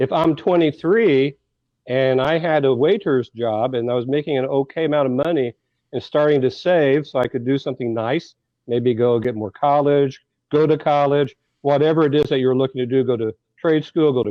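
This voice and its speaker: With a fairly quick pace, a man talks in a plain, everyday voice, his fairly high pitch showing ordinary variation. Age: 60s. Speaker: political commentator. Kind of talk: radio talk show discussion.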